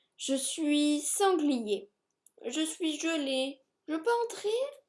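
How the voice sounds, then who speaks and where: This put-on character voice sits high in pitch and moves at a very slow pace. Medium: read story.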